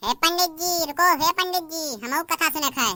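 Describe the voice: A squeaky, cartoonish character voice moves at a moderate pace, recorded with a dry, close sound and no echo. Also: woman, extremely high pitch for a woman.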